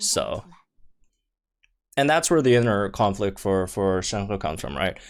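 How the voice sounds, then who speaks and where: The recording is very clean, with a silent background. A man speaks at a moderate pace with lively intonation. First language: not English. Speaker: gaming YouTuber. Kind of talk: casual video commentary. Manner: halting, many fillers and restarts; enthusiastic.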